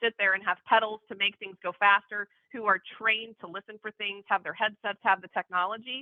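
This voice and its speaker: Fairly even in intonation, a woman talks at a fairly quick pace. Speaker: market research instructor. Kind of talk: lecture. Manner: fast.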